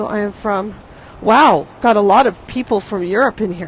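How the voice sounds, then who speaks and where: A woman at a medium pitch, moderate pace and ordinary pitch variation, with noticeable background noise. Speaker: live streamer. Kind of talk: casual talk to camera. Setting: outdoors, windy street.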